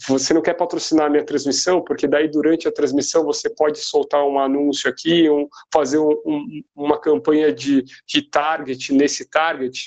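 A plain, everyday voice from a man, fairly high-pitched and at a fairly slow pace. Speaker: sports marketing professional. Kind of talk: interview. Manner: casual.

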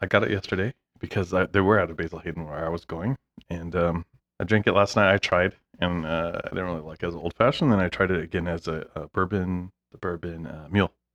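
Mumbling at a very fast pace, a man with a very deep, low pitch keeps a fairly even intonation in a dry, close sound with no echo and a quiet background. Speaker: podcast host. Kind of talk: casual chat. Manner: mumbles.

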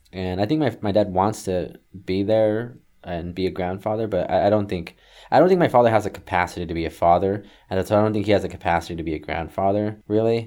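This man has an American accent and a fairly low pitch. He talks at a very fast pace with ordinary pitch variation. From San Diego, California. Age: 30s. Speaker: artist. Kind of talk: casual chat. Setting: remote recording.

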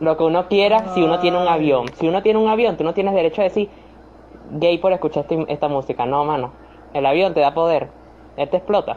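The speaker has a Venezuelan accent. The pace is very fast. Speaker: podcast host. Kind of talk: casual chat. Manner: animated.

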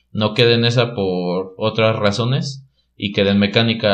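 A man talks at a moderate pace in an ordinary speaking voice, fairly low in pitch with ordinary pitch variation. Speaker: mechatronics engineer. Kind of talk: casual interview chat.

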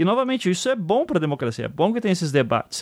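Speaking very fast in a high pitch, a man swings his pitch very widely on a very clean recording with a silent background. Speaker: podcast host. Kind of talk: casual political discussion.

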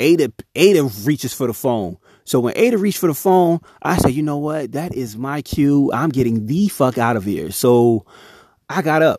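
Lively in intonation, a man talks at a moderate pace with a fairly high pitch and a dark, mellow tone. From Chester, Pennsylvania, US. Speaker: podcast host. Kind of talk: casual storytelling monologue.

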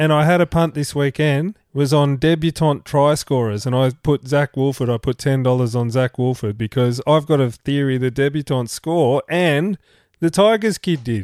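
With an Australian accent, a man speaks at a moderate pace and a fairly high pitch, using ordinary pitch variation and hardly any pauses, his loudness very even in a dry, close sound with no echo and a very clean recording over a silent background. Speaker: rugby league podcast co-host. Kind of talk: casual chat. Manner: animated.

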